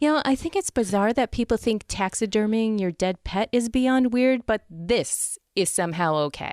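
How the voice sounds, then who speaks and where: A woman with an unremarkable speaking voice talks at a moderate pace, her fairly high pitch carried by lively intonation and very even loudness. The recording is very clean with a silent background and a dry, close sound with no echo. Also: hardly any pauses. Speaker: podcast host. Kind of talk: podcast news segment read with humor.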